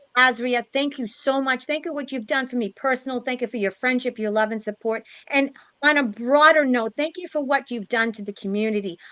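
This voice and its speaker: Loud and bright with a sharp tone, the voice shows ordinary pitch variation in a dry, close sound with no echo. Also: woman. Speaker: spiritual live stream host. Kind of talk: closing remarks of a live stream panel.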